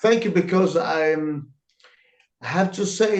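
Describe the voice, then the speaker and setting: A man is speaking. His pitch is high. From Italy, Lanciano. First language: Italian. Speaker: comic book artist. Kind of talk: interview answers. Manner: halting. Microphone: too quiet.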